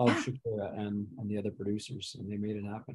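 A man with an American accent and a dark, mellow tone, at a fairly quick pace. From Pittsburgh, US. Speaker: retired CEO and reality show contestant. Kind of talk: interview, casual chat.

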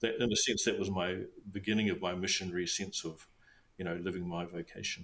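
A man with a very deep, low pitch and a New Zealand accent, very fast and monotone, flat in intonation. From New Zealand, South Island. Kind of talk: interview.

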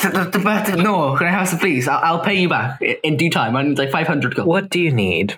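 With an animated tone and very even loudness, the speech keeps a moderate pace with hardly any pauses. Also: man, high pitch for a man, ordinary pitch variation. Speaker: tabletop game player. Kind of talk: casual roleplaying game chat. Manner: animated, joking.

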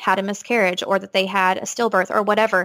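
On a very clean recording with a silent background and a dry, close sound with no echo, a woman with a Texan accent speaks at a fairly quick pace in a medium pitch with a bright, sharp tone. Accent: Texan American. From East Texas. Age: 20s. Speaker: occupational therapist, expectant mother. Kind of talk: casual interview.

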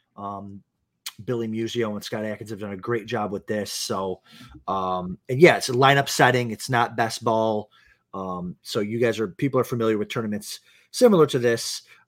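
A man speaks in an unremarkable speaking voice at medium pitch. His intonation is fairly even and his pace moderate. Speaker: fantasy football analyst. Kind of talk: casual chat.

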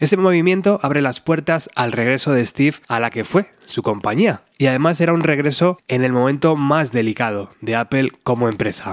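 A plain, everyday voice from a man, fairly high in pitch, lively in intonation, at a moderate pace with hardly any pauses. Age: 40s. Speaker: podcast host. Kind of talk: scripted narration.

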